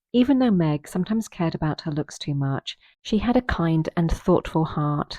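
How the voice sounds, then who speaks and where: Dark and mellow in tone, the voice keeps a moderate pace with a dry, close sound, no echo, and a quiet background. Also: woman. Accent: British. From Britain. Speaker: audiobook narrator for English learners. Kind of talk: reading aloud. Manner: steady pace; clear, careful.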